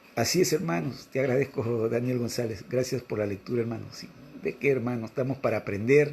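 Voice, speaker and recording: This man speaks at a medium pitch with ordinary pitch variation. His tone is dark and mellow, and somewhat breathy. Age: 60s. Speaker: religious teacher. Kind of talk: religious reading and commentary.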